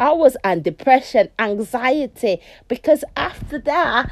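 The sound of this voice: A high-pitched woman talks fairly slowly, her intonation lively.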